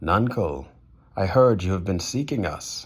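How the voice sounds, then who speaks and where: Someone uses a put-on character voice, delivering lines at an even, middling speed. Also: man, very deep, low pitch for a man. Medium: read story. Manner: sneering, confident.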